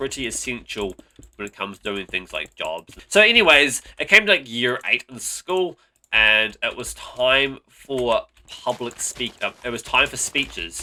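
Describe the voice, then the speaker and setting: A man with a bright, sharp tone and vocal fry speaks at a moderate pace in medium pitch, making very wide pitch swings. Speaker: gaming YouTuber. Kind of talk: story time commentary.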